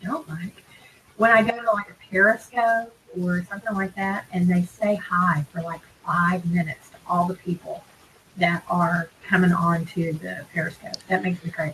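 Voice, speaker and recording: Fairly even intonation from a woman with a fairly low pitch, at a moderate pace, with big swings in loudness and noticeable background noise. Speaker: couponing video co-host. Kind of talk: casual live-stream chat. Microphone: mic picks up echo if loud.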